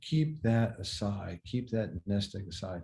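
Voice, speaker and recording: The man's voice is fairly low in pitch, with a dark, mellow, somewhat breathy tone. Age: 60s. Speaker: car dealership executive. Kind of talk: podcast interview. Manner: hesitant, repeats words.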